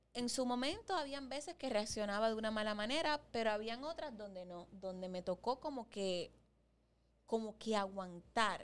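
A woman with an unremarkable speaking voice talks at a moderate pace, her fairly high pitch carrying lively intonation. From Dominican Republic. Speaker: podcast co-host. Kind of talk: casual chat. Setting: studio.

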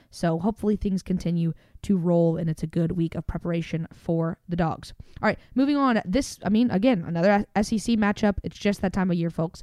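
A woman with a Southern US accent, a medium pitch, a dark, mellow tone, ordinary pitch variation and a fairly quick pace, in a dry, close sound with no echo. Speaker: podcast host. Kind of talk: casual sports recap chat.

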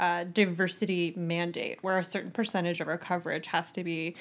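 Speech in an American accent comes at a fairly quick pace. The recording is very clean, with a silent background. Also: woman. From rural Virginia. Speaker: book website editor. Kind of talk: casual chat.

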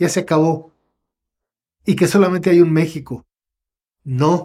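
This man's voice is high and has a dark, mellow tone. He talks at a moderate pace with fairly even intonation. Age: 70s. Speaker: cultural promoter and researcher. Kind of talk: long-form interview conversation. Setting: at home.

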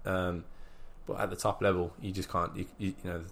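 A man talks at a very fast pace with an English accent. His voice is very deep and low. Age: 20s. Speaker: professional boxer. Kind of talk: interview. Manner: halting.

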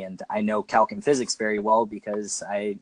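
A plain, everyday voice, a man's fairly low and fairly even in intonation at a fairly quick pace, with a dry, close sound and no echo. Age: 20s. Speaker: YouTuber and personal trainer. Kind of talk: casual interview.

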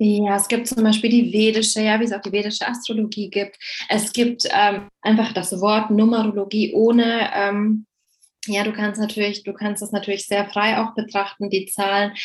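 A woman speaks at a moderate pace in a fairly high voice. Her delivery is somewhat breathy and monotone, with flat intonation. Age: 30s. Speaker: numerology coach. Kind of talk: interview.

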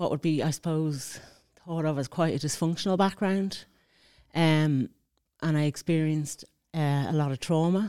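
In a very clean recording with a silent background, a woman with an Irish accent speaks at a moderate pace in a dark, mellow tone, with fairly low pitch and ordinary pitch variation. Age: 40s. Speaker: mature student. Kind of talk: interview. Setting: studio.

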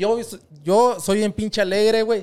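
A man talks fairly slowly in a very clean recording where the background is silent. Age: 20s. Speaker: podcast host as guest. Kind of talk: casual chat. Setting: podcast studio.

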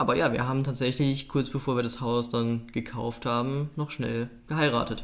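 Speaking at a moderate pace with hardly any pauses, a man uses an unremarkable speaking voice at medium pitch and fairly even intonation. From North Rhine-Westphalia, Oberbergischer Kreis. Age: 20s. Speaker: podcast co-host. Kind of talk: casual chat.

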